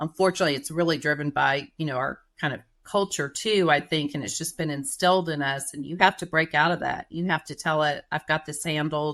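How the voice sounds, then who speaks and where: In a Texas accent, a woman speaks with a very deep, low pitch at a fairly quick pace. Her intonation is fairly even, and the background is quiet. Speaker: writer and marketing manager, former journalist. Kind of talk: podcast interview.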